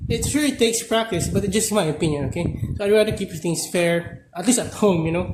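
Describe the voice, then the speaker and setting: A man is speaking with ordinary pitch variation. Noticeable background noise is present. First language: not English. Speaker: gaming content creator. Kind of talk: gameplay tutorial. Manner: halting, many fillers.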